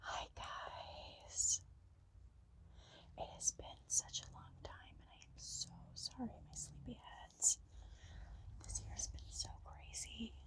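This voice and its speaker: A woman whispers, and noticeable background noise fills the clip. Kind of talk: ASMR storytime chitchat. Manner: soft-spoken.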